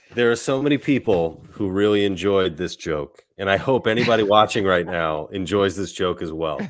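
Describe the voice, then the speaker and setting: A man with a fairly low pitch talks at a moderate pace, with ordinary pitch variation and hardly any pauses. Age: 40s. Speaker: comedian and author. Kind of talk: casual chat. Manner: halting.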